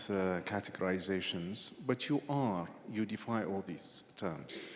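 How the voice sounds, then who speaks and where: Speaking with an Arabic accent, a man takes a fairly slow pace. His pitch swings very widely. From Iraq. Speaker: journalist and writer. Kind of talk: on-stage conversation. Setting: stage with audience.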